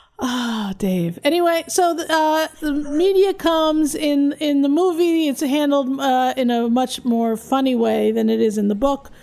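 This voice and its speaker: A woman talks in a high pitch with lively intonation and hardly any pauses. Noticeable background noise runs underneath. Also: fairly slow pace. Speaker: podcast host. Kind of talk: casual chat podcast with comedic bits. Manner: dry, hesitant with frequent uh fillers.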